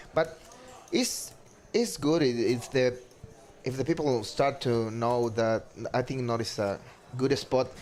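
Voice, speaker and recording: A man with a Spanish accent, medium pitch, fairly slow pace and long, frequent pauses, over noticeable background noise. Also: ordinary pitch variation. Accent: non-native English, Spanish. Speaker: poker player commentator. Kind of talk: live commentary. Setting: commentary booth. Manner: halting.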